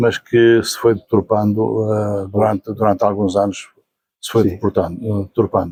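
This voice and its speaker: A man in a European Portuguese accent speaks at a moderate pace with a fairly low pitch and monotone, flat intonation. His tone is dark and mellow, and the sound is dry and close with no echo. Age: 70s. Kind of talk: interview answer. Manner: hesitant, repetitive.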